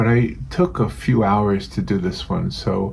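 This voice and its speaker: A man speaks at a fairly low pitch. Noticeable background noise is present. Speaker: painting channel host. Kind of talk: casual talk to camera, painting demonstration intro. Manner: gentle, relaxed.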